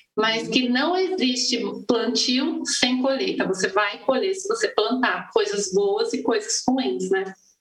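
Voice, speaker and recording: A woman's high voice at a fairly slow pace, with very wide pitch swings, hardly any pauses and noticeable background noise. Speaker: education director and pedagogue. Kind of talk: interview. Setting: live online talk show.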